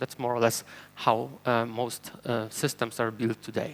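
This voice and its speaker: The speaker has a Polish accent. The pace is fairly quick. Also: man. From Poland. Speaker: software engineer and conference speaker. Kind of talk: conference talk. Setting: stage with audience.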